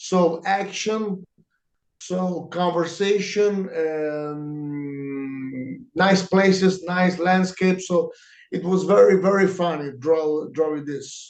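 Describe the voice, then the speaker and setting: Speaking very slowly in an Italian accent, a man uses a high pitch with ordinary pitch variation. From Italy, Lanciano. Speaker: comic book artist. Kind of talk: interview answers. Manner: halting. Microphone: too quiet.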